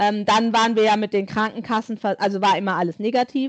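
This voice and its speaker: A plain, everyday voice, fairly even in intonation, at a moderate pace. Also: woman. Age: 40s. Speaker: guest sharing infertility story. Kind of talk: interview testimony.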